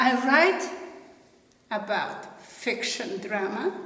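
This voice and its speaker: A woman speaks at a very slow pace with very wide pitch swings, amid noticeable background noise and audible room echo. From Slovenia. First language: Slovenian. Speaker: author. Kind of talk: promotional self-introduction.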